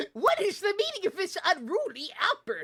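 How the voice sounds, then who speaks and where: A put-on character voice, extremely high in pitch, with very wide pitch swings. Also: moderate pace. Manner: indignant.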